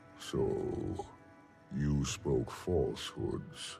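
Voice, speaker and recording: Clear music plays in the background. A man growls in a put-on character voice. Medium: video game. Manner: grave, formal.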